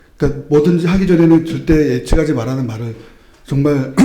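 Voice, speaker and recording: A man's very fast speech with ordinary pitch variation and audible room echo. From moved around Chungcheong, Gyeonggi, Seoul; then Busan. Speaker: book talk audience member, civil servant. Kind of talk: casual public talk at book event. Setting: book talk event with audience.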